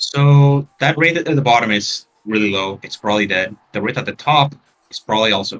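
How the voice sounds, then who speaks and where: With a slight non-native accent, a man speaks at a medium pitch using lively intonation. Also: moderate pace. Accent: slight, subtle non-native. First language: Spanish. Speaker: game tournament commentator. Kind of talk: live commentary.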